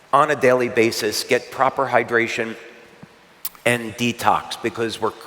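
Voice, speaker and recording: Noticeable background noise sits behind a man at a medium pitch. He talks at a moderate pace with monotone, flat intonation. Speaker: product educator. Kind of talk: presentation. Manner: hesitant fillers.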